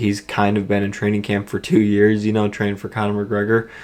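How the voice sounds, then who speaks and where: A man talks quietly in a fairly low pitch with a monotone, flat intonation. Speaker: MMA fight predictor. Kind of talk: casual talk to camera.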